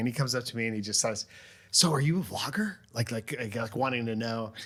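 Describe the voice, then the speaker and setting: At a fairly quick pace, a man talks in a medium-pitched voice. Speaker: podcast host, video creator. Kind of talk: casual family chat. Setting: studio. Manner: loud.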